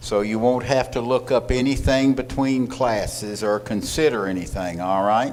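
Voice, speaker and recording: Noticeable background noise and audible room echo surround the recording. A man speaks at a fairly slow pace with ordinary pitch variation. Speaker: Bible class teacher. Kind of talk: Bible class lecture. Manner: loud.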